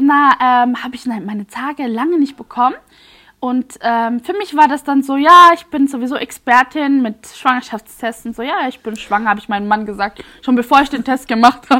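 A woman's raised, projected voice rings out at a high pitch in a bright, sharp tone, with ordinary pitch variation and big swings in loudness. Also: moderate pace. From Switzerland, near Basel. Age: 30s. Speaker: influencer and mother. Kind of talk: personal testimony.

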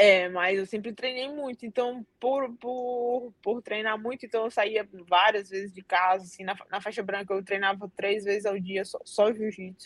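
In a strong Cearense accent, a woman speaks fairly slowly at a fairly high pitch, with hardly any pauses. Her intonation stays fairly even while her loudness swings widely. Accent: Cearense (Ceará) accent, strong. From Brazil, Northeast (Fortaleza, Ceará). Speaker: Brazilian jiu-jitsu athlete. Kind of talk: interview.

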